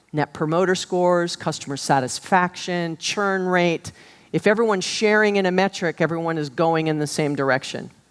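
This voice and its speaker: A woman with an American accent speaks in a normal speaking voice, fairly low in pitch. She keeps a moderate pace with ordinary pitch variation. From Hawaii. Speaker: business keynote speaker. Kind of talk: keynote talk. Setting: stage with audience.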